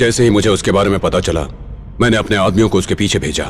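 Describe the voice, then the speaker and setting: A man does a put-on character voice at a fairly low pitch and a very fast pace. Clear background noise is present. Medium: fan dub. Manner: measured, knowing.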